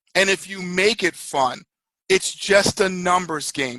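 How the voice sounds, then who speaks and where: Loud and very slow, a man speaks at a high pitch with a bright, sharp tone, in a dry, close sound with no echo on a very clean recording with a silent background. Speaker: network marketing leader. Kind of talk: motivational talk. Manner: animated.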